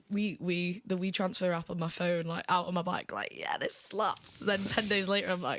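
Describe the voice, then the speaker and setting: A woman with a Mancunian accent talks in a monotone, flat intonation, with hardly any pauses. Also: medium pitch for a woman, moderate pace. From Manchester, northern England. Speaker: musician. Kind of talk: casual chat.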